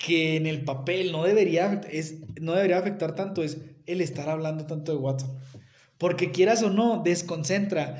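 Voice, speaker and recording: Speaking at a moderate pace, a man uses an animated tone and a high pitch with ordinary pitch variation. Audible room echo is present. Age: 30s. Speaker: NFL podcast co-host. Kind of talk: casual sports chat.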